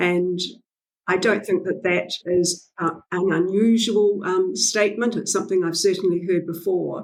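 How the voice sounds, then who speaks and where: A woman's voice with vocal fry, monotone, flat intonation and a New Zealand accent. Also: medium pitch for a woman. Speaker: literacy educator and author. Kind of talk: podcast interview. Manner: hesitant, many fillers.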